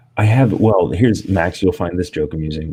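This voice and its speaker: Quiet and somewhat breathy, the man's voice sits very deep and low, with a dark, mellow tone. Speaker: streamer host. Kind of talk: casual chat. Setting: home office, live stream panel.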